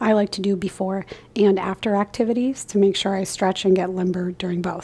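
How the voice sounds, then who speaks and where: Soft-spoken and medium in pitch, a woman talks at a moderate pace with fairly even intonation. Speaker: yoga instructor. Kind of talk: guided yoga class. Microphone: new microphone, picks up soft speech.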